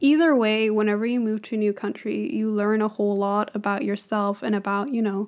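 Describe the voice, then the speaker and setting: Here a woman speaks in a normal speaking voice at a fairly high pitch. Her pace is fairly quick and her intonation fairly even. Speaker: podcast co-host, international student. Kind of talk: casual chat.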